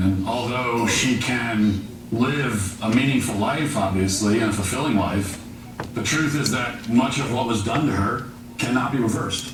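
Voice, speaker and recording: A man speaks at a moderate pace with a medium pitch and ordinary pitch variation, with audible room echo and noticeable background noise. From Virginia, Shenandoah Valley. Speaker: journalist and speaker. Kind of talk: public talk. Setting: venue with live audience.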